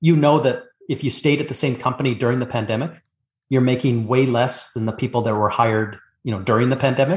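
Against a quiet background, a man talks at a very fast pace in a somewhat breathy voice. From Canada. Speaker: industry analyst. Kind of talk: interview.

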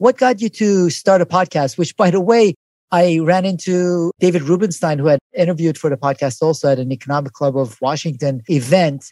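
This man's voice sits high for a man, with a dark, mellow tone and ordinary pitch variation. He barely pauses, and the sound is dry and close with no echo. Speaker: podcast host. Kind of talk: interview.

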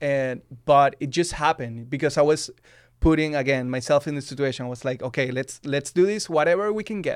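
A man with a Spanish accent speaks at a fairly quick pace in a fairly high pitch with ordinary pitch variation, on a very clean recording with a silent background. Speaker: wedding filmmaker. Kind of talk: casual interview. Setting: studio.

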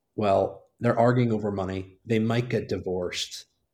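On a very clean recording with a silent background, a man in a normal speaking voice talks at a moderate pace, with medium pitch and ordinary pitch variation. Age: 30s. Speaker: fitness business mentor. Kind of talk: interview.

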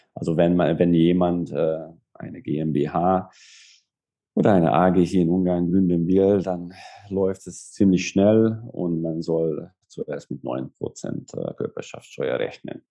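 Very slowly and with fairly even intonation, a man with a Hungarian accent speaks in a very deep, low voice. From southern Hungary, Szeged. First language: Hungarian (speaking German). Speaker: lawyer. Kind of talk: interview. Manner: halting.

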